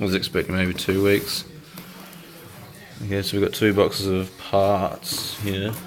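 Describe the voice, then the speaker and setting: Over noticeable background noise, a man with an Australian accent and fairly low pitch talks at a fairly slow pace in a monotone, flat intonation, with long, frequent pauses. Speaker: hobbyist video maker. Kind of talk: unboxing video. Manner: halting, many fillers.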